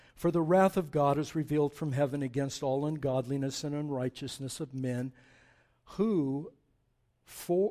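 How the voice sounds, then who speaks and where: A man's fairly high-pitched voice with a dark, mellow tone, ordinary pitch variation and a fairly slow pace, in a very clean recording with a silent background. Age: 60s. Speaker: pastor. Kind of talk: sermon. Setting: church. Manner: animated, impassioned preacher, voice building in intensity, emphatic; informal, unscripted, with fillers and hesitations.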